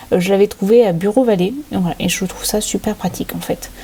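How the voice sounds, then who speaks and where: A woman with an English accent at a moderate pace, ordinary pitch variation, and noticeable background noise. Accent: English accent when speaking French. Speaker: crafting channel host. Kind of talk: tutorial. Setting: home desk filmed by overhead camera. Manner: hesitant, many filler sounds.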